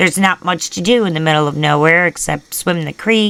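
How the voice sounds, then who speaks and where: Using a put-on character voice, a woman speaks raspily at a fairly low pitch with ordinary pitch variation and a moderate pace. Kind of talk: horror narration. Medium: read story. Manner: measured, storytelling.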